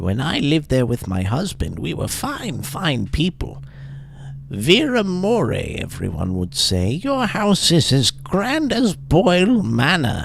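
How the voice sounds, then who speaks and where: A man puts on a character voice with a sing-song delivery at a fairly slow pace. Background noise is clearly audible. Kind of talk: creepy storytelling. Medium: game stream. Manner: sing-song, cooing, calls listener dearie.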